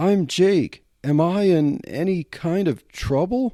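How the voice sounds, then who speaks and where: Putting on a squeaky character voice, a man speaks at a fairly slow pace with a high pitch and ordinary pitch variation. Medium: read story. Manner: nervous, squeaky.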